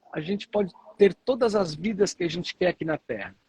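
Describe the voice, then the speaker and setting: Lively intonation from a man, with a dry, close sound and no echo. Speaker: author and motivational speaker. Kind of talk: interview. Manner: halting, frequent fillers.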